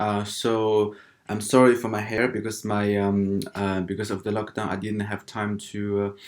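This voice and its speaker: With a non-native accent and a fairly low pitch, a man keeps a moderate pace with hardly any pauses. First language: not English. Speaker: international student vlogger. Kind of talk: casual vlog talk. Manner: halting, many fillers.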